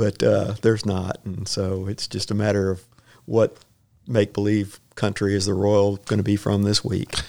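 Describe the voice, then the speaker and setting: Speaking in a Texan accent, a man with a dark, mellow tone and fairly low pitch delivers his words at a moderate pace in a monotone, flat intonation. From Houston, Texas. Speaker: retired firefighter and potter. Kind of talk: casual interview. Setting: chamber of commerce office.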